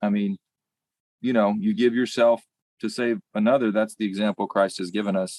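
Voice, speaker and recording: With a Southern US accent, a man speaks at a moderate pace with lively intonation. The sound is dry and close, with no echo. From US South, rural Arkansas. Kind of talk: podcast interview. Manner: conversational, with fillers and restarts.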